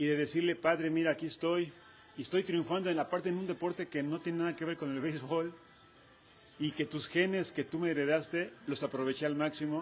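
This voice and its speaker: A man's fairly high, monotone voice with flat intonation at a fairly quick pace. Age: 60s. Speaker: retired football goalkeeper. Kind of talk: interview.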